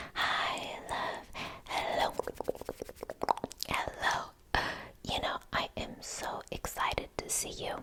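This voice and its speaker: A woman whispers at a very slow pace. Noticeable background noise runs behind her. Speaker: ASMR creator. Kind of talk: ASMR gossip role play. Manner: whispered.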